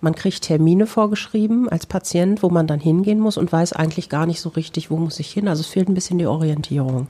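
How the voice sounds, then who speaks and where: Very fast female speech, fairly low in pitch, with ordinary pitch variation. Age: 40s. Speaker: psychotherapist. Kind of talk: interview monologue.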